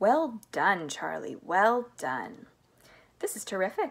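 Using a put-on character voice, a woman speaks slowly at medium pitch with big pitch swings, vocal fry and a slightly husky edge.

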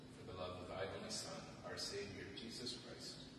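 Loud background noise and audible room echo surround a voice moving at a moderate pace. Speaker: clergyman leading prayer. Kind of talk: scripture reading and responsive prayer. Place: church. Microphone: camera far.

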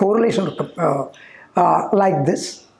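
There is audible room echo as a man speaks at a fairly slow pace. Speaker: yoga or spiritual teacher. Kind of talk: storytelling lecture. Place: studio. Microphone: lapel.

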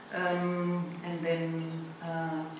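A woman speaks in a fairly low pitch. Her voice carries strong room echo over noticeable background noise. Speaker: school director, event host. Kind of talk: ceremony hosting. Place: hall. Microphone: podium.

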